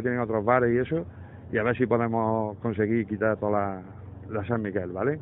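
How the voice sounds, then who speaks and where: A man speaks with ordinary pitch variation in a dry sound with no echo. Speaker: caller. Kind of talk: complaint phone call. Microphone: phone line.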